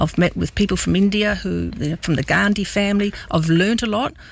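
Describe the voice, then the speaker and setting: Talking at a very fast speed, this woman speaks in an Australian accent. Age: 60s. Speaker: politician. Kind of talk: radio interview. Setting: studio.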